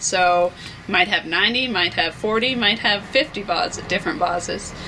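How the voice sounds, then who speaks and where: Against light background noise, a woman talks at a fairly slow pace. Her pitch shows ordinary variation. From Canada, rural Alberta (Flagstaff County); Alberta. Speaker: small business owner. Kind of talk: business promotional interview. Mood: friendly, upbeat.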